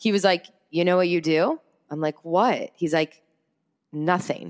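A woman talks at a moderate pace in an unremarkable speaking voice, fairly low in pitch, in a very clean recording with a silent background and a dry, close sound with no echo. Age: 20s. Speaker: entrepreneur and public speaker. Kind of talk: casual interview chat.

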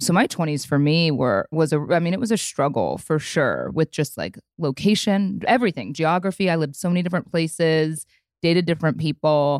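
With an American accent, a woman speaks at a very deep, low pitch with lively intonation. She moves at a fairly quick pace with hardly any pauses, in a dry, close sound with no echo. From US Midwest. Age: 30s. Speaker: entrepreneur and former radio host. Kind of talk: casual interview chat.

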